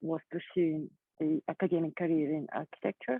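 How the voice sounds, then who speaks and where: At a moderate pace, a woman with a fairly low pitch talks in a non-native accent. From Kazakhstan. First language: not English. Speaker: artist. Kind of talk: panel discussion. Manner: halting.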